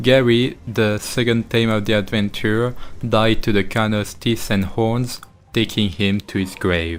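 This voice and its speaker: In a French accent, a man speaks at a fairly slow pace with medium pitch and fairly even intonation. The recording is very clean, its background silent. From France. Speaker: gaming YouTuber. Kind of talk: gameplay commentary narration.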